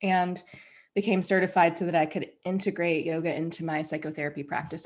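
Heard in a very clean recording with a silent background, a woman has a plain, everyday voice at a fairly low pitch. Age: 40s. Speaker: anti-racism trainer and yoga teacher. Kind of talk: interview conversation.

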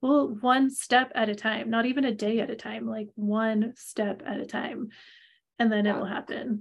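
The voice is somewhat breathy, and its intonation stays fairly even. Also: woman, fairly high pitch for a woman, moderate pace. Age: 40s. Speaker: podcast co-host, human design reader. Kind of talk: casual chat.

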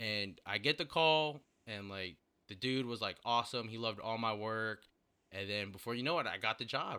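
A man speaks in an unremarkable speaking voice, keeping a moderate speed and normal pitch movement. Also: medium pitch for a man. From Virginia. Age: 20s. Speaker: graphic designer. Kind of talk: casual chat.

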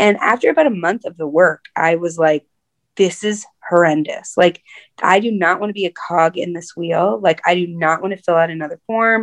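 A woman has an unremarkable speaking voice, fairly low in pitch with ordinary pitch variation. She speaks at a moderate pace in a dry, close sound with no echo. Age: 40s. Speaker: nonprofit director. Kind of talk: interview conversation. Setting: video call.

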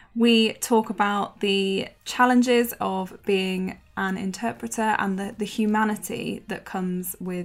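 A woman with an unremarkable speaking voice talks at a fairly slow pace, her medium pitch carrying fairly even intonation. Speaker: podcast host. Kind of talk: casual interview.

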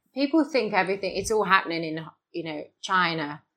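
With lively intonation, a woman at medium pitch talks at a moderate pace. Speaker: shark conservation charity co-founder. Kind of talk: interview. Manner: hesitant, with many repeats and fillers.

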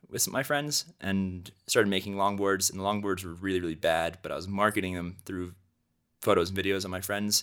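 An unremarkable speaking voice: a man with a fairly low pitch and an American accent. He talks at a fairly quick pace on a very clean recording with a silent background. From US Northeast (Cornwall, New York). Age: 20s. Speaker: photographer and filmmaker. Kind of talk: casual interview chat.

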